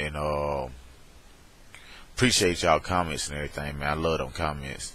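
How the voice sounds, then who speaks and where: This man speaks with a Southern US accent. His voice is very deep and low. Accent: countrified Southern, slurred. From US South, Alabama. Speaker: vlogger. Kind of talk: casual webcam vlog. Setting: webcam recording. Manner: slow, slurred.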